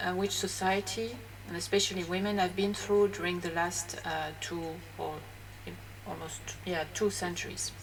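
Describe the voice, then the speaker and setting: A woman with a French accent talks at a moderate pace. There is audible room echo and noticeable background noise. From France. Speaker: graphologist. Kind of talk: educational talk. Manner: hesitant, many fillers.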